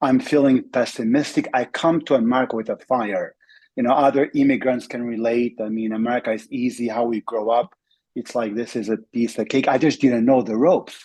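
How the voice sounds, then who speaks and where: Speaking with an Albanian accent at a fairly quick pace, a man uses a medium pitch, a dark, mellow tone and fairly even intonation. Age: 40s. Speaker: network marketing entrepreneur. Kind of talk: interview testimony.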